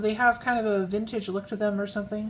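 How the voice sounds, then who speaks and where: Her voice sits at a fairly high pitch as this woman talks. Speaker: fountain pen ink reviewer. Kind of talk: casual product review tutorial. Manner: soft-spoken.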